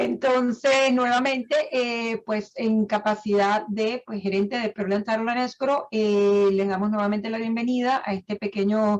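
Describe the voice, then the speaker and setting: Using a Venezuelan accent, a woman speaks fairly slowly at a fairly high pitch with hardly any pauses and fairly even intonation. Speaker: title agency manager. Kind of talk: online seminar presentation. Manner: hesitant, many fillers.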